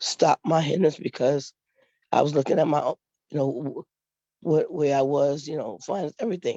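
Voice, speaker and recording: Her very deep, low pitch stays in a fairly even intonation as this woman speaks at a moderate pace. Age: 60s. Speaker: workshop participant. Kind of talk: personal testimony in online Q&A. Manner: halting, many fillers.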